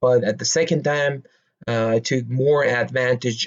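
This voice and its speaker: A man's medium-pitched voice at a fairly slow pace, with fairly even intonation. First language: Persian. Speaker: stock market commentator. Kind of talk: casual explainer monologue. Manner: halting, many fillers.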